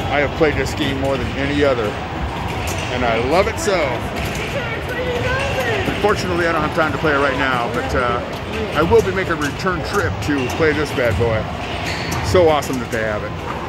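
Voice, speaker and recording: Fairly quick speech over loud background noise, the sound dry with no echo. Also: man. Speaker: vlogger. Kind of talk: casual vlog chat. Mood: nostalgic, enthusiastic. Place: hall. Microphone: phone near.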